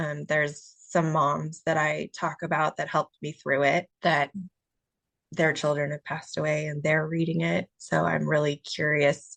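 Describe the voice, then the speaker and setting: A woman speaks quietly at a moderate pace, her very deep, low pitch carrying vocal fry. Her intonation is monotone and flat, and the sound is dry and close with no echo. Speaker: author. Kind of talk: casual chat. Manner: halting.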